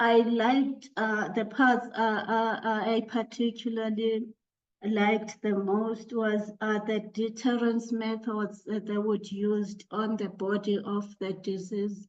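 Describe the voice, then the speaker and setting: A woman with a South African accent speaks at a very slow pace in a fairly high pitch with monotone, flat intonation. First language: Xhosa. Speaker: academic panelist. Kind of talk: academic discussion. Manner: halting, many fillers.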